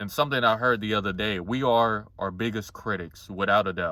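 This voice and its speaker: Here is a man with an ordinary speaking voice and a fairly low pitch. He keeps a moderate pace with ordinary pitch variation. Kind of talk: casual talk to camera.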